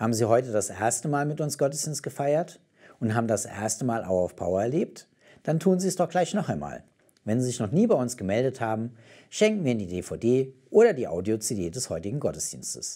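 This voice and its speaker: A man delivers his words at a fairly quick pace. Nothing much stirs in the quiet background. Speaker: German-language show presenter. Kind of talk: announcement, closing message. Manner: formal, warm. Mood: warm, calm, encouraging.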